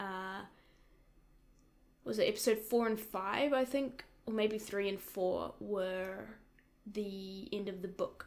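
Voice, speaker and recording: A woman talks with a New Zealand accent and fairly even intonation. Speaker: YouTube reaction creator. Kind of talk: casual reaction commentary. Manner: casual, hesitant with fillers.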